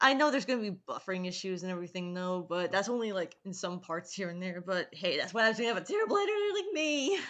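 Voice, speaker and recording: Over noticeable background noise, a woman at a medium pitch races along at a very fast pace with hardly any pauses. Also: ordinary pitch variation. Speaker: YouTuber. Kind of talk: casual chat. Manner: halting. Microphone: poor mic with echo.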